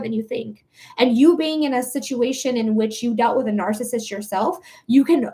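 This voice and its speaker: A woman with an American accent, ordinary pitch variation and a fairly quick pace. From US Midwest, metro Detroit. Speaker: psychic reader. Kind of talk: live-stream psychic reading. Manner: animated.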